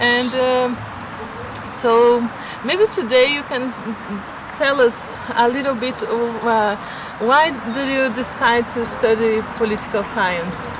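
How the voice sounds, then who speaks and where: Speaking in a Portuguese accent, a woman talks at a high pitch and very slow pace with long, frequent pauses. Background noise is noticeable and room echo is audible. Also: ordinary pitch variation. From Brazil. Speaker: vlogger. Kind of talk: casual chat. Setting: outdoors. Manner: halting.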